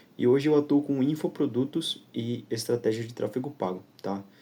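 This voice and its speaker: A man with a dark, mellow tone speaks at a moderate pace with ordinary pitch variation. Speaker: digital marketing instructor. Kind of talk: tutorial.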